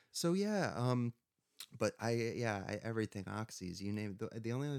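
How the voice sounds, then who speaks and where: A normal speaking voice from a man, fairly low in pitch, at a fairly quick pace with ordinary pitch variation and a dry, close sound with no echo. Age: 40s. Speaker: author and recovering addict. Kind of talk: casual interview chat.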